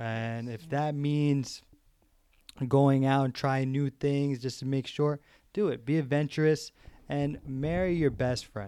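A man with a New York accent speaks at a fairly slow pace in a fairly high pitch. His tone is dark and mellow, and his intonation stays fairly even. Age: 20s. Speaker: financial specialist. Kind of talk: casual chat. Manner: warm, sentimental.

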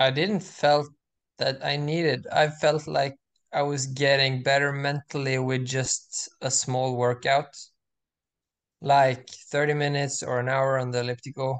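Against a quiet background, a man with a Norwegian accent speaks in a monotone, flat intonation. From Norway. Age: 20s. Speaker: student and semi-pro distance runner. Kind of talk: casual interview chat. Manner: halting, many fillers.

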